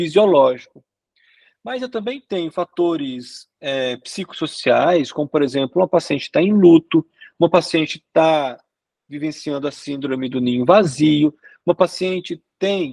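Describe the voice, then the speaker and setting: A man with a plain, everyday voice, fairly high in pitch, lively in intonation and fairly slow, in a dry, close sound with no echo. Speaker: sexologist lecturer. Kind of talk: lecture.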